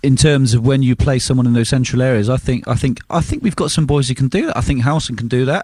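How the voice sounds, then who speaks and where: Somewhat breathy and at a medium pitch, a man talks very fast with ordinary pitch variation. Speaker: football pundit. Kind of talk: radio phone-in analysis.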